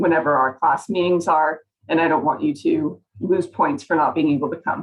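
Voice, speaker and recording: A woman with a plain, everyday voice speaks at a moderate pace and fairly low pitch, with ordinary pitch variation. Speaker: college biology instructor. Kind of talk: tutorial. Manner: casual, upbeat.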